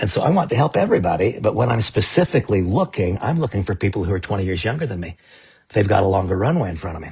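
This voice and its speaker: A man talks at a very fast pace, his voice somewhat breathy and his intonation lively. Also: fairly low pitch for a man. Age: 60s. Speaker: network marketing leader. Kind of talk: sales pitch. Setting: live stream.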